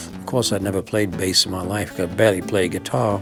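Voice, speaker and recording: A man with a Manchester accent at a moderate pace, with music in the background. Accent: northern English (Manchester). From Manchester, England. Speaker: blues musician and bandleader. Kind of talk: interview answer. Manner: reflective, funny.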